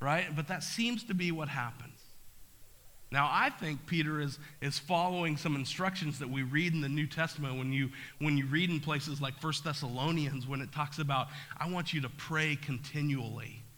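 A man's bright, sharp tone at a moderate pace, with audible room echo. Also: fairly high pitch for a man, ordinary pitch variation. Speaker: pastor. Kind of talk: sermon. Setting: church.

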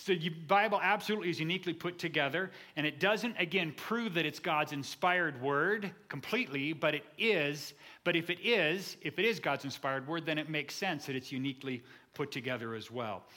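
Speaking at a fairly quick pace, a man uses an animated tone and lively intonation at a fairly high pitch. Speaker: pastor. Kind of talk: sermon. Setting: church. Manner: fast.

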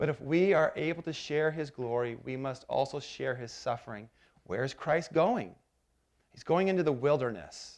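A man with a normal speaking voice, pitched fairly high, talks at a moderate pace with lively intonation and big swings in loudness. The background is quiet. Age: 40s. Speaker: pastor. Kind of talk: sermon. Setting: church.

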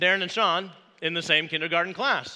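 A man with a Midwestern American accent talks at a fairly quick pace in a bright, sharp tone, recorded very cleanly against a silent background. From Indiana, US Midwest. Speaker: pastor. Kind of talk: sermon. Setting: church.

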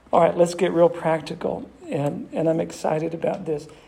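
A man with an American accent speaks at a fairly high pitch amid audible room echo. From Massachusetts, US. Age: 60s. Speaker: pastor. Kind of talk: sermon. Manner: animated.

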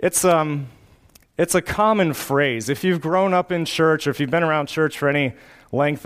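Using an unremarkable speaking voice, a man moves fairly quickly, with ordinary pitch variation. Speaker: pastor. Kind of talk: sermon; closing congregational prayer. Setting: church. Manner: fervent, earnest prayer.

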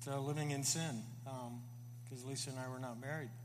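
A man's fairly high pitch comes through audible room echo and noticeable background noise. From US South (Florida). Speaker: church member. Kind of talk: testimony.

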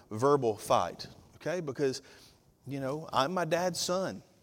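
Lively intonation and an animated tone run through this voice in a Southern US accent. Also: man. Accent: Southern US (Georgia). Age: 50s. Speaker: pastor. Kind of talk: sermon. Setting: church.

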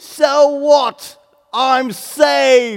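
A female-sounding voice does a put-on character voice at a high pitch, with a British accent as part of the act. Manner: cheerfully dismissive.

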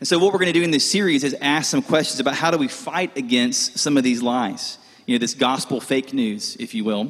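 At a moderate pace, a man with a fairly high pitch speaks in an ordinary speaking voice with lively intonation. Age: 30s. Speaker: college pastor. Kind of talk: sermon. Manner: casual, conversational.

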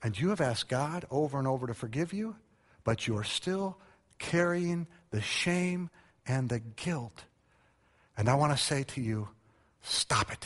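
The speaker goes at a fairly slow pace with long, frequent pauses and lively intonation. The voice is somewhat breathy, and the background is quiet. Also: man, fairly high pitch for a man. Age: 50s. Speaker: preacher. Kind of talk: Sunday sermon, evangelical church service with call-and-response. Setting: church. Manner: earnest, direct pastoral appeal to the congregation.

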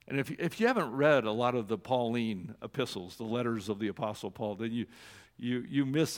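A man with an unremarkable speaking voice, medium in pitch, at a fairly quick pace with ordinary pitch variation. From Oregon. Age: 60s. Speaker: church executive director and former pastor. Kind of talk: sermon.

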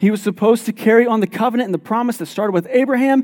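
This is a man with an extremely high pitch. His pitch varies in an ordinary way. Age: 30s. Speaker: pastor. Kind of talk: sermon. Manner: repetitive, halting starts.

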